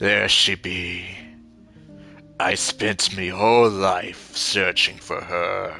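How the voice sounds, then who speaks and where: A man's raspy, put-on character voice, very deep and low, at a very slow pace with long, frequent pauses and a monotone, flat intonation, with clear music in the background. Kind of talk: archaic pirate-like speech. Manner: gruff, obsessed.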